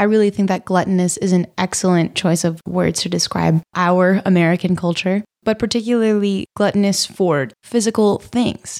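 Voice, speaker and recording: An unremarkable speaking voice from a woman at a medium pitch, with fairly even intonation, very even loudness, a moderate pace, hardly any pauses, and a dry, close sound with no echo. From Vermont, US. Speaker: college student. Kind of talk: casual chat. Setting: studio.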